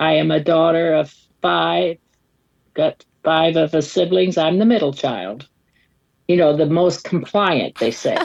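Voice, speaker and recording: A woman with a fairly low pitch and vocal fry speaks at a fairly slow pace. She takes long, frequent pauses, and her pitch varies in an ordinary way. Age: 60s. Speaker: pastor's wife. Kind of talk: podcast interview. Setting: video call. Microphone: poor connection.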